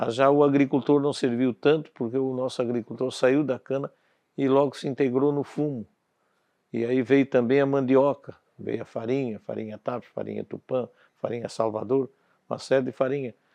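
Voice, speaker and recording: A man with a medium pitch talks in a monotone, flat way, keeping a moderate pace. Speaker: former local politician and businessman. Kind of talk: documentary interview. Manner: halting.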